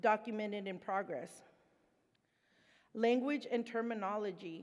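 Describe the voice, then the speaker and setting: A woman with a Spanish accent speaks at a fairly slow pace, leaving long, frequent pauses. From Mexico. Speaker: presenter, person in recovery. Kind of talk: conference presentation. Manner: casual, conversational.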